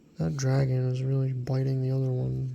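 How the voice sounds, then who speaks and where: A soft-spoken man talks at a medium pitch and a moderate pace. Noticeable background noise runs underneath. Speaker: card collector YouTuber. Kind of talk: ASMR card review.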